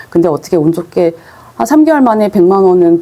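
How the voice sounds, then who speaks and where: A woman's medium-pitched voice with very wide pitch swings, a fairly quick pace and noticeable background noise. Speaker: online selling instructor. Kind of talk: lecture. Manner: fast.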